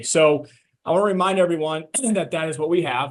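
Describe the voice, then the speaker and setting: A put-on character voice, raspy and delivered at a fairly quick pace. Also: man, fairly high pitch for a man. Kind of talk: professional business presentation.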